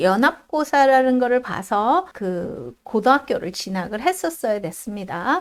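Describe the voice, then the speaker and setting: A woman speaks with very wide pitch swings. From South Korea. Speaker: immigrant vlogger, IT worker. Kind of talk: casual vlog monologue.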